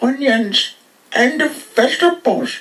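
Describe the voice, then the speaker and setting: A cartoonish character voice, high in pitch, speaks at a very slow pace. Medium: puppet show. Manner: whiny, food-obsessed.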